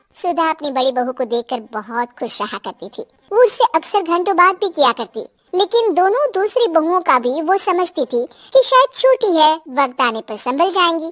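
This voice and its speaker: Using a cartoonish character voice, a woman talks at an extremely high pitch with very wide pitch swings and hardly any pauses. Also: moderate pace. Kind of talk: children's moral story narration.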